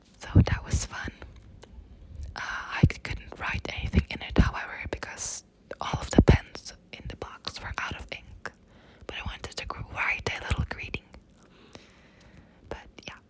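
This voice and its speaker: Whispering comes at a fairly slow pace with long, frequent pauses and noticeable background noise. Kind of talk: casual talk to camera. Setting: outdoors. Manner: whispered.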